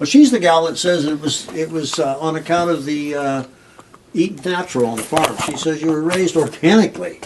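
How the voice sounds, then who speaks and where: The speaker has an American accent and a fairly quick pace. Pitch variation is ordinary, with noticeable background noise. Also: man, fairly high pitch for a man. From US Midwest, rural Nebraska. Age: 70s. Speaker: artist. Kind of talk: casual interview. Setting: artist's studio.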